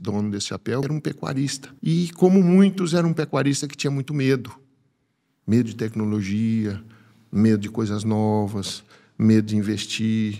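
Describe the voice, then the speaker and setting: A man talks at a moderate pace in a dark, mellow tone, with lively intonation. His loudness swings widely over a quiet background. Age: 50s. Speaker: animal scientist and agribusiness speaker; speaker. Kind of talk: personal testimony in interview. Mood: warm, reflective, emotional story. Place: studio. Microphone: studio mic.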